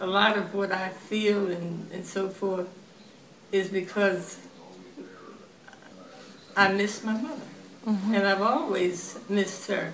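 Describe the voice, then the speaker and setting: A woman with an American accent speaks at a medium pitch and a fairly slow pace. Noticeable background noise runs under her voice. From Elkton, Maryland. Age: 80s+. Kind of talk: interview answer.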